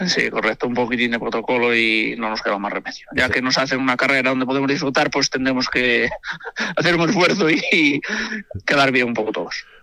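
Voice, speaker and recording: A man of medium pitch at a fairly quick pace, with ordinary pitch variation, over noticeable background noise. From Galicia, Spain. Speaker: amateur rally driver. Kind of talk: radio interview.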